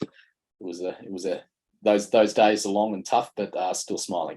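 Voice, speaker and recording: A man with an Australian accent talks at a fairly low pitch in a dark, mellow tone. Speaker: mining sustainability consultant, panelist. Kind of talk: conference panel presentation. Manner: halting with frequent fillers.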